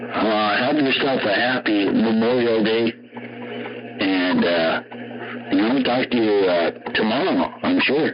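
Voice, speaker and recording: Over noticeable background noise, a man at medium pitch speaks at a fairly slow pace with ordinary pitch variation, very even loudness and long, frequent pauses. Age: 50s. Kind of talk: casual chat.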